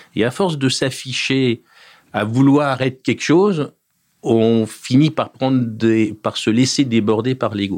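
Very slowly, a man speaks at a medium pitch with ordinary pitch variation. The recording is very clean, with a silent background. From France, Paris region (Essonne). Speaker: property developer executive. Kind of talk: interview. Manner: hesitant, many fillers.

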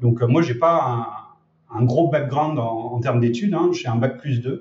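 A man speaks with fairly even intonation. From France, Lyon region. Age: 30s. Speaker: e-commerce trainer and entrepreneur. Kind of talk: interview.

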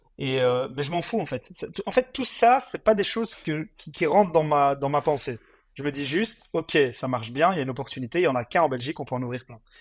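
A man with an unremarkable speaking voice talks at a fairly quick pace in a fairly high pitch, his intonation lively and his loudness swinging widely, on a very clean recording with a silent background. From Belgium, Mons (Hainaut). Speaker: fast-food franchise entrepreneur. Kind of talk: interview.

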